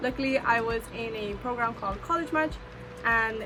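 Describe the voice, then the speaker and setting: With an American accent, a woman speaks at a moderate pace and fairly even intonation, with audible room echo and music in the background. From US West Coast, Southeast Los Angeles. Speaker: student vlogger. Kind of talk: casual vlog talk to camera.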